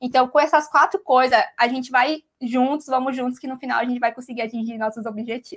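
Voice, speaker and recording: Against a quiet background, a woman with a high pitch speaks at a fairly quick pace with hardly any pauses and big swings in loudness. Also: fairly even intonation. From Mato Grosso, Brazil. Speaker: digital marketing coordinator; guest instructor. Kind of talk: online class lecture. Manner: casual, with many fillers. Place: home room. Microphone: video call.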